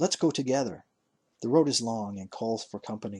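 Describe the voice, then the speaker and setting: A man puts on a gruff, growling character voice at medium pitch, talking at a fairly quick pace. His intonation is lively and his loudness swings widely. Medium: read story.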